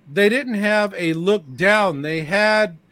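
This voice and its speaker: Very slow and bright, sharp in tone, a man's voice shows ordinary pitch variation in a very clean recording with a silent background. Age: 70s. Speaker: panelist. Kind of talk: casual panel chat.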